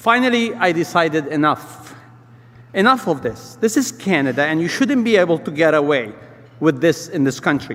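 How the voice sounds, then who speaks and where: With a non-native accent, the speaker talks at a moderate pace with very wide pitch swings over noticeable background noise. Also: man, fairly high pitch for a man. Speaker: restaurant business owner and community leader. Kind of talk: speech at a luncheon event.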